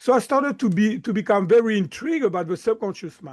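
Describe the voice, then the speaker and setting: A man with a slight French accent speaks at a high pitch and moderate pace with lively intonation against a quiet background. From southern France. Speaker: mindset coach. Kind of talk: interview.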